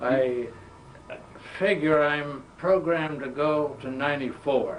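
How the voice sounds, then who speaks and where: Very slowly, a man with an American accent speaks at a fairly high pitch with fairly even intonation, amid audible room echo and noticeable background noise. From western Massachusetts, US Northeast. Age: 80s+. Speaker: World War II veteran. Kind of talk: oral history interview. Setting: museum.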